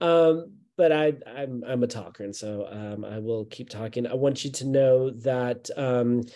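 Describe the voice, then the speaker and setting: A dark, mellow tone with big swings in loudness. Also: man, medium pitch for a man, ordinary pitch variation, fairly slow pace. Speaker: college admissions advisor. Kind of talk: presentation. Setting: video call.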